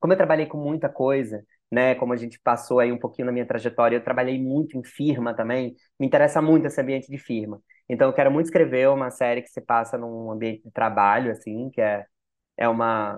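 Very fast and fairly even in intonation, a man speaks at a medium pitch. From Natal, Brazil. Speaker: screenwriter and creator. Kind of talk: casual interview chat. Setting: studio.

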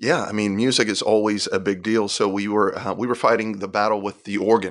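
Over a quiet background, a man speaks at a fairly low pitch with monotone, flat intonation. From Puerto Rico. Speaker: worship pastor. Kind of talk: casual interview chat.

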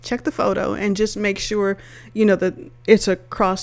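A woman speaks at a medium pitch and a moderate pace. She has an ordinary speaking voice. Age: 50s. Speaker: podcast host. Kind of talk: solo podcast monologue.

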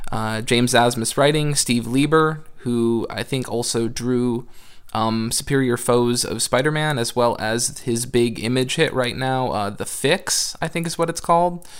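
In a normal speaking voice, a man at a medium pitch talks with hardly any pauses and ordinary pitch variation. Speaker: podcast guest. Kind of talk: casual chat.

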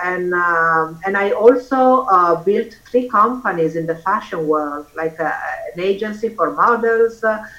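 Over noticeable background noise, a woman with an Italian accent talks at a moderate pace with ordinary pitch variation. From Italy. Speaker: author and former model. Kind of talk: casual interview. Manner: halting, hesitant.

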